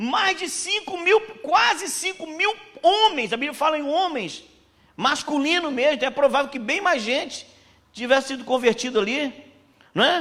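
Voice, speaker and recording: A man speaks in a raised, projected voice at an extremely high pitch with lively intonation. He keeps a moderate pace with long, frequent pauses. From Pernambuco, Brazil. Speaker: missionary preacher. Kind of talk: sermon. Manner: casual, conversational.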